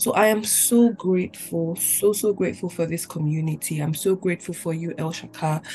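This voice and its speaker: The speech moves at a moderate pace with ordinary pitch variation. Music plays in the background. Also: woman. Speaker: participant asked to read scripture. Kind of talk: reading aloud scripture, then casual testimony.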